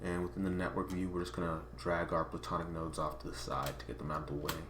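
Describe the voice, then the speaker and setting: A man talks at a very fast pace with a very deep, low pitch. Audible room echo surrounds his voice. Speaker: software tutorial creator. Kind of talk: tutorial.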